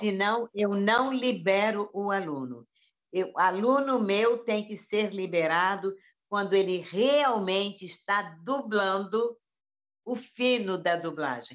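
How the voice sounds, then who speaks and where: Against a quiet background, a woman talks at a very slow pace with lively intonation. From Brazil. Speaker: voice actor. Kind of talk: interview answer. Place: home room. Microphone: video call.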